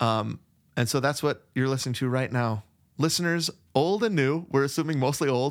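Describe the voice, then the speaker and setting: A man with an unremarkable speaking voice talks at a moderate pace and a fairly high pitch. His loudness stays very even, and his pitch varies in an ordinary way. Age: 40s. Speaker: podcast co-host. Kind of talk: casual chat. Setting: remote recording.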